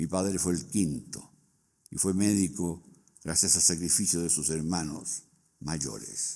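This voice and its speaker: A man's very deep, low voice with a dark, mellow tone and vocal fry, ordinary pitch variation and a fairly slow pace. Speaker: book launch speaker. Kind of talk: reading aloud. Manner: formal.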